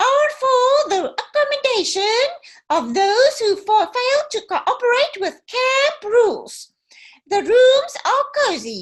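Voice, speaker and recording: Putting on a character voice, a woman talks at an extremely high pitch and fairly slow pace with lively intonation. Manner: bored.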